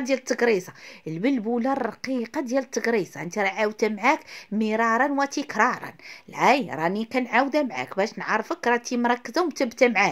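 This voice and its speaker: A woman with a Moroccan accent speaks at a high pitch with ordinary pitch variation. Her pace is fairly quick, and the background is quiet. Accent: Moroccan Arabic (Darija). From Morocco. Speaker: cooking video host. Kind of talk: cooking tutorial. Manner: fast, chatty. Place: kitchen. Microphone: phone near.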